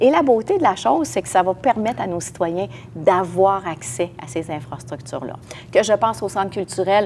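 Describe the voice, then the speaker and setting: Lively intonation from a woman at medium pitch and a fairly quick pace, noticeable background noise around her. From Quebec, Lévis area. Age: 60s. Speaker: municipal politician, mayoral candidate. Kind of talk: interview. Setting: podcast recording.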